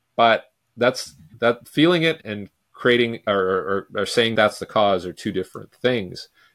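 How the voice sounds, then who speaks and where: A man with an ordinary speaking voice and a Canadian accent, medium pitch, ordinary pitch variation, and fairly slow pace, in a very clean recording with a silent background and a dry, close sound with no echo. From Vancouver, Canada. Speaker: sports speed coach. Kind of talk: casual interview.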